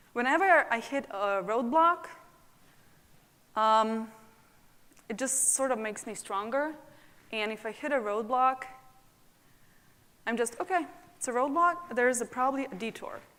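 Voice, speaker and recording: A woman with a non-native accent speaks at a moderate pace in a high, bright, sharp voice. Her intonation is lively, and she takes long, frequent pauses. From abroad, immigrated to US at 20. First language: not English. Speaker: nonprofit founder. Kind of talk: panel discussion.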